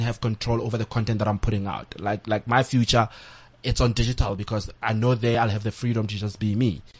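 The speech comes at a fairly quick pace. There is a somewhat breathy quality to the voice. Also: man. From South Africa, rural village. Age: 30s. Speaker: entertainment commentator and blogger. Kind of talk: interview. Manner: halting, many fillers and repetitions.

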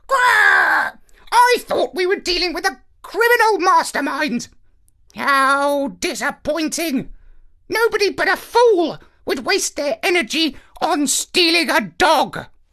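Someone performs a put-on character voice at an extremely high pitch. The pace is fairly slow. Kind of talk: condescending, disappointed. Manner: annoyed, squawking.

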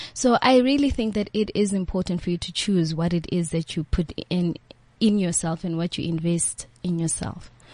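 A woman talks in a fairly low pitch with a dark, mellow tone. Her voice is somewhat breathy, and her pitch varies in an ordinary way. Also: moderate pace. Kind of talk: casual radio interview.

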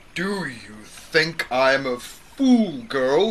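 This loud, shrill put-on character voice sits at a middle pitch over light background noise. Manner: angry, shrieking.

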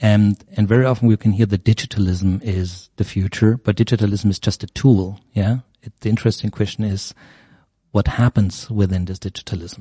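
A man with a German accent talks at a fairly quick pace and fairly low pitch, his tone dark, mellow and somewhat breathy with fairly even intonation. The sound is dry and close with no echo over a quiet background. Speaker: media professor. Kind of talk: interview.

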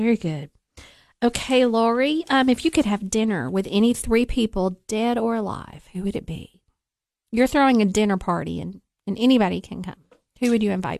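Against a quiet background, a woman with a Southern US accent speaks at a fairly high pitch with ordinary pitch variation, the sound dry and close with no echo. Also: moderate pace. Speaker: radio host. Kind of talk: radio interview.

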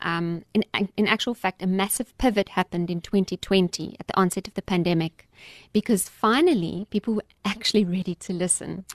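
With a quiet background and a dry, close sound with no echo, a woman talks in an ordinary speaking voice at a moderate pace and medium pitch. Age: 40s. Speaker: wellness facilitator. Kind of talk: interview. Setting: studio.

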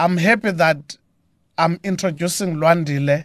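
A man with a South African accent speaks at a moderate pace in a high voice for a man, with ordinary pitch variation over a quiet background. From South Africa, Eastern Cape (Mthatha). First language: Xhosa. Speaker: gospel musician. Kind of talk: radio interview. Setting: radio studio.

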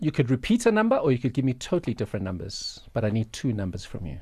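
Very fast and full of very wide pitch swings, a man speaks at a medium pitch with vocal fry. The background is quiet. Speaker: radio co-host. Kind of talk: radio interview.

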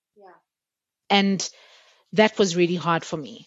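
A woman talks in a plain, everyday voice. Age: 30s. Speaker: podcast co-host. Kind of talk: casual chat.

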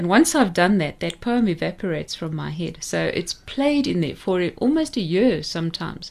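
In a South African accent, a woman talks at a moderate pace with vocal fry and lively intonation over a quiet background. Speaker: poet and former teacher. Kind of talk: radio interview. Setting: studio.

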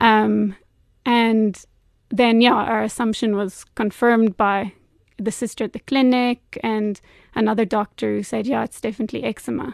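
In a dry, close recording with no echo and a quiet background, a woman with a plain, everyday voice speaks at a moderate pace with fairly high pitch and fairly even intonation. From US and England. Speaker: teacher and mother. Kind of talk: interview testimony.

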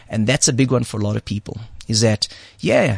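Vocal fry runs through this man's fairly quick speech. The sound is dry and close, with no echo. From South Africa. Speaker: martial arts teacher. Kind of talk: interview.

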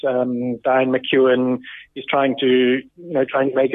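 An ordinary speaking voice from a man, fairly high in pitch, at a moderate pace. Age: 30s. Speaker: former professional triathlete. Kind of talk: casual interview.

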